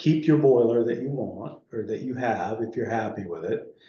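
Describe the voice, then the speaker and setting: Audible room echo surrounds a man whose medium-pitched voice has a dark, mellow tone. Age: 60s. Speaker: energy efficiency contractor. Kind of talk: public meeting discussion. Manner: halting.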